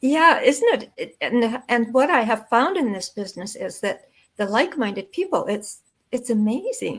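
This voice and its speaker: A woman speaks with a high pitch at a moderate pace. Her intonation is lively. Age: 80s+. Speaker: online business owner. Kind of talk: interview. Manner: halting.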